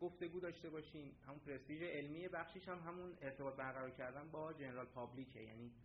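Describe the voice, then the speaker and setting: A man talks at a fairly quick pace with ordinary pitch variation. Room echo is audible. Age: 20s. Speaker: graduate student presenter. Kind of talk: conference presentation.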